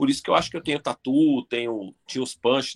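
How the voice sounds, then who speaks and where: A man with a São Paulo accent at a fairly quick pace, recorded dry and close with no echo. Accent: São Paulo Portuguese (paulistano). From Brazil, São Paulo (East Zone). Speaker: professional body piercer. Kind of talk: casual interview chat.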